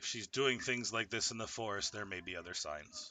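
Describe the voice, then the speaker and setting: Using a put-on character voice, a man speaks at a medium pitch and a fairly quick pace. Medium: actual play.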